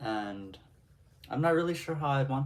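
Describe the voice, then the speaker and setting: Medium-pitched and lively in intonation, a man's a normal speaking voice at a moderate pace. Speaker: streamer. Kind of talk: casual chat.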